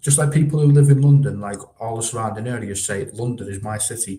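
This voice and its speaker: This man's medium-pitched voice is somewhat breathy and has a dark, mellow tone, moving at a moderate pace with ordinary pitch variation. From northern England, Widnes near Liverpool. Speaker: football live streamer. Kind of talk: casual chat, reading live chat comments.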